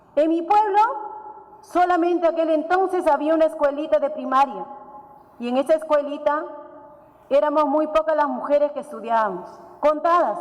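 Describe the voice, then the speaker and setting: Amid noticeable background noise, a woman with an Andean accent speaks at a high pitch with ordinary variation, leaving long, frequent pauses. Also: moderate pace. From Peru, Puno region (Huancané, Aymara highlands). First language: Aymara (speaking Spanish). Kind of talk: conference talk. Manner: halting.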